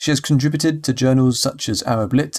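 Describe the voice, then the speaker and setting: Recorded very cleanly with a silent background and a dry, close sound with no echo, the speaker goes at a fairly quick pace in a British accent. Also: man. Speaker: podcast host. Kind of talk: scripted podcast intro and outro.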